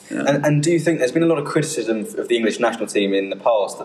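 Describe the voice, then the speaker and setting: A man is speaking. Music plays in the background. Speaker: sports podcast panelist. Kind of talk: casual chat. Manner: talkative.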